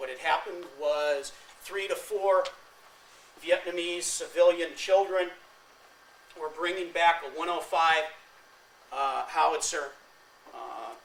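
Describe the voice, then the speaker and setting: Over noticeable background noise, a man with an American accent speaks high-pitched at a fairly slow pace, with fairly even intonation, long, frequent pauses and big swings in loudness. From California. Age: 50s. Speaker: war veteran. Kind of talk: lecture.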